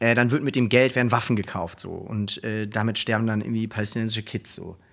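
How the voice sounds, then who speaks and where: A man talks very fast, captured on a very clean recording against a silent background. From Germany (Hamburg, Cologne, Berlin). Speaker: program manager at a foundation, law school alumnus. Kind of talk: casual interview. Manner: halting, many fillers.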